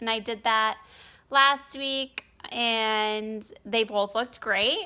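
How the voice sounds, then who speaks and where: Her pitch fairly high and her tone bright and sharp, a woman speaks at a very slow pace. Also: very clean recording, silent background. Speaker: surrogate mother vlogger. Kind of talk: casual vlog update. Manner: hesitant, many ums.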